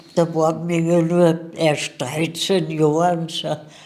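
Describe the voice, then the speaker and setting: Very slowly, a woman speaks as noticeable background noise carries on behind her. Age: 80s+. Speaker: war eyewitness. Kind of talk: interview.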